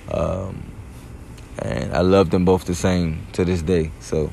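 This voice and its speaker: American accent, ordinary pitch variation, audible room echo and noticeable background noise. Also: man. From Prince George's County, Maryland. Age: 30s. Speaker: podcast host. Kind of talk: casual chat. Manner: animated.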